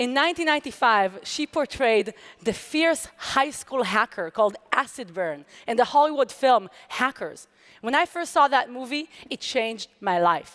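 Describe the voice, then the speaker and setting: Fairly slow speech in an Israeli accent, with very wide pitch swings, against a quiet background. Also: woman, high pitch for a woman. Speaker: hacker and security researcher. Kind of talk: conference talk. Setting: stage with audience. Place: stage.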